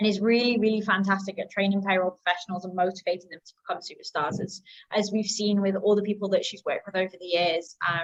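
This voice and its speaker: A woman with a British accent at a medium pitch, very fast with hardly any pauses, her intonation fairly even and her loudness swinging widely. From UK. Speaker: marketing coordinator and community host. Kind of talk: webinar presentation. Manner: hesitant, many filler ums.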